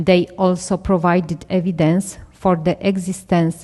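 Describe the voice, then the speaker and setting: A woman speaks very slowly in a dark, mellow tone at a fairly low pitch. Her intonation stays monotone and flat. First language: Polish. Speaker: dermatology researcher. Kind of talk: conference presentation. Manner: halting.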